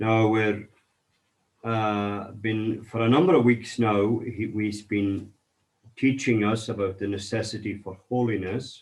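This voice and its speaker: With a Scottish Highland accent, a man of fairly low pitch talks at a fairly slow pace in fairly even intonation. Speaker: minister. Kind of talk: sermon reading and commentary.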